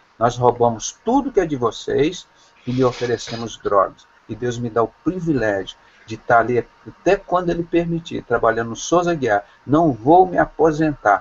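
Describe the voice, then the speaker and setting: Very wide pitch swings in a man's fairly high voice. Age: 60s. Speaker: doctor and evangelical preacher. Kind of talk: preaching in an online video call. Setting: video call. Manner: impassioned, denunciatory.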